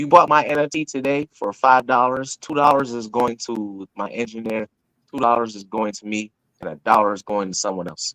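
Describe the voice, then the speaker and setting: In a normal speaking voice, a man with an American accent talks at a fairly quick pace with ordinary pitch variation, the sound dry and close with no echo. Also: medium pitch for a man. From Syracuse, New York, US. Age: 40s. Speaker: independent music artist. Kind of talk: casual interview chat. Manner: frequent word repetitions and restarts.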